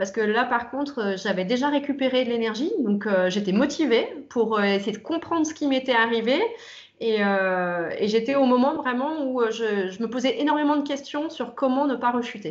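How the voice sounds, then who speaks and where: Lively intonation and a moderate pace from a woman with a high-pitched voice. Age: 30s. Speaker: interviewee giving a client testimonial. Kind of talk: testimony interview. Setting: video interview. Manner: hesitant, many filler words.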